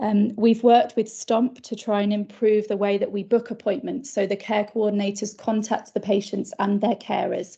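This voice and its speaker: A woman speaks in a fairly high pitch with a dark, mellow, somewhat breathy tone. Her intonation is monotone and flat, and her pace is moderate. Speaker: primary care practitioner. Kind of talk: conference presentation.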